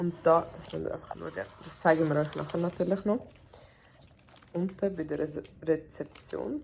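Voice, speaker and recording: Pausing long and often, a woman moves at a moderate pace with big swings in loudness. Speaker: vlogger. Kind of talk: casual travel vlog. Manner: animated.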